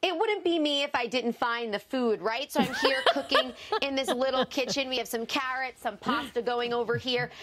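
Against noticeable background noise, a woman with a high pitch speaks at a moderate pace with hardly any pauses. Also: ordinary pitch variation. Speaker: TV news reporter. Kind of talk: live news report. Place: bus. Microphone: lapel.

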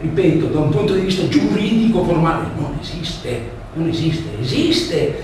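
Strong room echo and light background noise surround a man speaking at a fairly slow pace with a high pitch. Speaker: lecturer. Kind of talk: lecture. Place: hall. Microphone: camera far.

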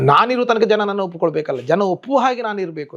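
The speaker is a man. His voice swings across a very wide pitch range. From coastal Karnataka, Karkala. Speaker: yakshagana artist playing female roles. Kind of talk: interview.

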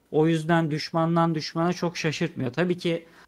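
In a high voice, a man talks at a fairly slow pace over a quiet background. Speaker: gaming youtuber. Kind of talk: casual chat. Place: home room. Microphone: studio mic.

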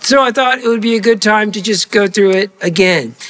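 A man speaks in a high pitch with ordinary pitch variation, keeping a moderate pace. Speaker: pastor. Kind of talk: sermon. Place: church.

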